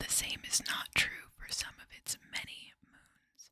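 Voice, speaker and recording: Someone whispers at a fairly slow pace. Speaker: ASMR creator. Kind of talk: ASMR whispered reading. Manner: whispered, soft-spoken.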